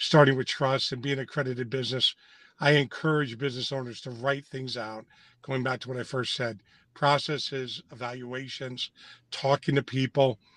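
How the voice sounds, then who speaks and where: This man has an ordinary speaking voice at medium pitch, with fairly even intonation and a fairly quick pace. The sound is dry and close with no echo. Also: very clean recording, silent background. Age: 60s. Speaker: nonprofit CEO. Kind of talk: interview.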